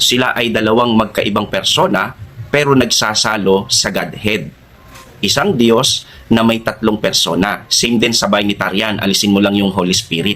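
A man's unremarkable speaking voice, fairly low in pitch with ordinary pitch variation, at a moderate pace and very even loudness. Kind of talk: religious teaching, answering a question. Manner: formal.

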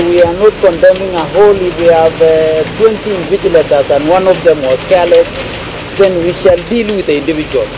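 Amid noticeable background noise, a man talks at a moderate pace, with a high pitch and fairly even intonation. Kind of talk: press statement. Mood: firm, confident. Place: street. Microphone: handheld.

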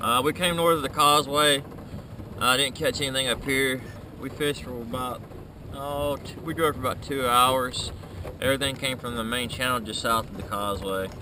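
Against noticeable background noise, a man talks at a fairly quick pace with ordinary pitch variation in a dry sound with no echo. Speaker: angler vlogger. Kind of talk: casual vlog chat. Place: boat. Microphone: phone near.

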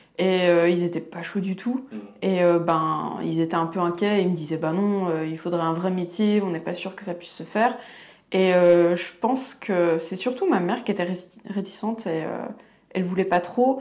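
A woman talks at a moderate pace with a fairly low pitch and ordinary pitch variation. It is a plain, everyday voice. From eastern France, Franche-Comté. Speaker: illustrator, comic artist. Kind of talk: casual interview chat.

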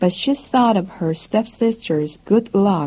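The voice reads aloud naturally.

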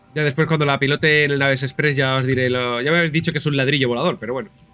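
Behind a man's voice, music plays. His pitch is medium, with ordinary pitch variation. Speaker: video game streamer. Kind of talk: casual gameplay commentary.

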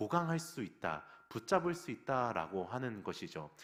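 With vocal fry and very wide pitch swings, a man speaks at a fairly slow pace on a very clean recording with a silent background. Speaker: pastor. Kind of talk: sermon. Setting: church.

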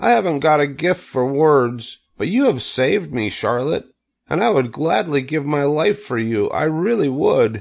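Putting on a character voice, a man speaks with a fairly high pitch and big pitch swings. His pace is fairly slow, with vocal fry throughout.

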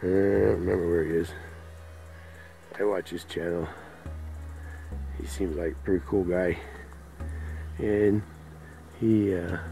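With faint music in the background, a man with a very deep, low pitch speaks at a moderate pace, showing ordinary pitch variation and long, frequent pauses. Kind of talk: casual vlog chat. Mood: relaxed, cheerful. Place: garden. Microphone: phone near.

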